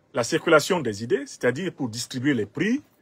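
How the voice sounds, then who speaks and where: A somewhat breathy man with a Cameroonian accent, fairly high pitch, very wide pitch swings and a moderate pace, in a dry, close sound with no echo. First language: Bassa (speaking French). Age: 50s. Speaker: political commentator. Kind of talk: political commentary.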